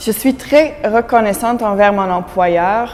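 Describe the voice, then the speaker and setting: Speech moves at a very slow pace in a Dutch accent, with ordinary pitch variation. Noticeable background noise runs underneath. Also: woman. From Belgium (Flemish). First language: Dutch (speaking French). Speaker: immigrant employee. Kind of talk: interview testimony.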